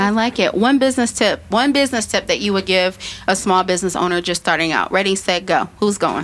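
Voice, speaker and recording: An American-accented woman talks at a fairly quick pace with medium pitch and ordinary pitch variation. Her tone is animated and her loudness very even. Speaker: podcast host, small business advocate. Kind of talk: casual interview chat. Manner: fast.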